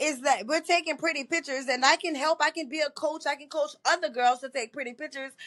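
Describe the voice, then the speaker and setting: Against a quiet background, a woman with a New Orleans accent speaks at a fairly quick pace. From New Orleans, Louisiana. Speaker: model and poet. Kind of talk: interview.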